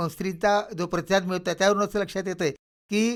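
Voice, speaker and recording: A man speaks with fairly even intonation. His pitch is high. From Vidarbha, Maharashtra (Khamgaon). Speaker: novelist and professor. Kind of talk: radio interview. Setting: radio studio.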